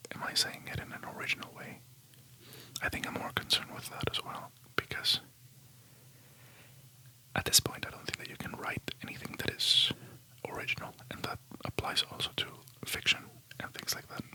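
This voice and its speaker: Whispering at a fairly quick pace with long, frequent pauses, the speaker keeps a relaxed tone over noticeable background noise. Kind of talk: ASMR whispered rambling talk to camera. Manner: whispering, soft, relaxed.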